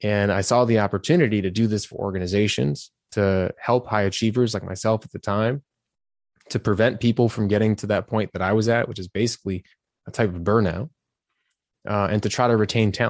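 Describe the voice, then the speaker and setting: This is an ordinary speaking voice at a fairly quick pace. The sound is dry and close with no echo, over a quiet background. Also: man, fairly low pitch for a man, fairly even intonation. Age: 30s. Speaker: leadership and career coach. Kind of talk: podcast interview.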